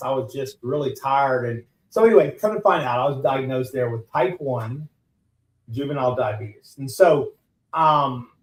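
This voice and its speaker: A man with a Texan accent talks at a moderate pace. His voice is somewhat breathy, with lively intonation. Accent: Texan Southern US. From US South, Southeast Texas. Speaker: business owner, transplant survivor. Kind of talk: radio interview. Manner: halting, many repetitions and fillers.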